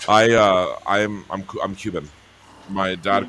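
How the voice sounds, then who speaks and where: A man speaks with an American accent and a very deep, low pitch. His intonation is fairly even, and background noise is noticeable. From New Mexico, US (San Isidro). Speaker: singer. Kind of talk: casual chat. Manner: halting, many fillers.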